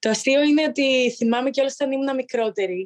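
Dry, close sound with no echo on a woman's voice. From Greece, village in Arta. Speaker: professional handball player. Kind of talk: interview.

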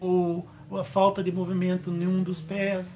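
A man speaks over noticeable background noise. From Brazil, Curitiba. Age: 50s. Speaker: para-athlete and racing driver. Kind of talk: interview. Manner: halting.

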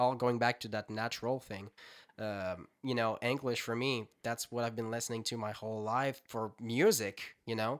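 The speaker talks at a moderate pace in a French Canadian accent. The intonation stays fairly even. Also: man, medium pitch for a man. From Quebec. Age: 20s. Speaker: singer-songwriter musician. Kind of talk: casual interview chat. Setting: home studio.

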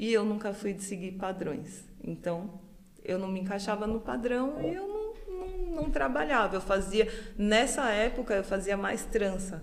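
With noticeable background noise and audible room echo, a woman speaks at a fairly slow pace with ordinary pitch variation. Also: medium pitch for a woman. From Brazil, São Paulo area. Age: 40s. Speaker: hairdresser. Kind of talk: casual chat.

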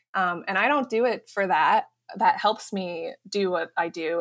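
Here is a woman with a normal speaking voice. She speaks at a medium pitch with an American accent. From Colorado, US. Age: 30s. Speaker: runner and PhD student. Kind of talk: casual interview.

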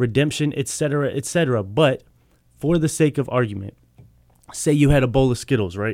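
The recording is very clean, with a silent background and a dry, close sound with no echo. A man with a plain, everyday voice talks fairly quickly at a medium pitch, using ordinary pitch variation. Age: 30s. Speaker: touring spoken word poet. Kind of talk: poetry performance. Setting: radio studio.

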